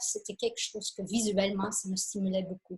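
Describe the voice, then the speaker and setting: A woman's somewhat breathy voice. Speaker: photographer and travel speaker. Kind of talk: illustrated lecture. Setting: conference with audience. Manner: halting, many fillers.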